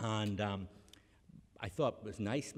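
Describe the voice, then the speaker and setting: A man with a Northern Irish accent speaks at a fairly quick pace. His pitch is fairly low. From Northern Ireland. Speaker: academic, honorary graduate speaker. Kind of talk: graduation speech. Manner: halting, many repetitions.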